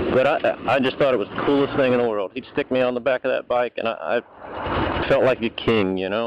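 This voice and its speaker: A man with an American accent at a medium pitch, talking at a fairly quick pace with hardly any pauses, noticeable background noise, and a dry, close sound with no echo. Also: fairly even intonation. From US South. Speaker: motorcycle vlogger. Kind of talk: casual vlog storytelling. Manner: halting, repeats words.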